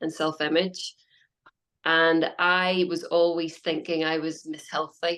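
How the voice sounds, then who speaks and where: Speaking fairly slowly in a Northern Irish accent, a woman keeps a fairly low pitch and a monotone, flat intonation. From Northern Ireland. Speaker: health coach. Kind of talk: interview.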